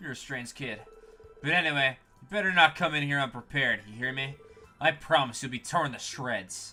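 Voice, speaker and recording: A gruff, put-on character voice from a man, fairly high in pitch and fairly quick, with faint music in the background. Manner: menacing.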